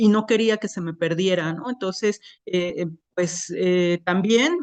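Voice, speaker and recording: A woman with a southern Mexican accent, fairly slow in pace, with ordinary pitch variation. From Isthmus of Tehuantepec, Oaxaca, Mexico. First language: Isthmus Zapotec (speaking Spanish). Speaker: poet. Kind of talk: panel talk. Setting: museum event with microphones. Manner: hesitant, many filler sounds.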